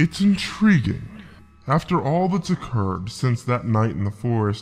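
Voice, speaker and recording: Here a man performs a put-on character voice. It sits at a medium pitch with a moderate pace. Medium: audio drama. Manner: commanding, soothing, condescending.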